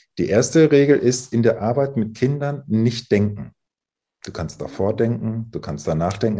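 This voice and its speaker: With vocal fry and a dark, mellow tone, a man talks at a moderate pace with lively intonation. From northern Germany, Emsland. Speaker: psychologist. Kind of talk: interview.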